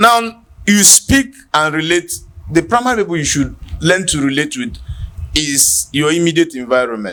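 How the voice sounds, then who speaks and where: A man with a Nigerian accent speaks at a moderate pace in a fairly high voice with a bright, sharp tone. His pitch swings very widely. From Nigeria, Igbo village. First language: Igbo. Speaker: podcast host. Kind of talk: casual chat.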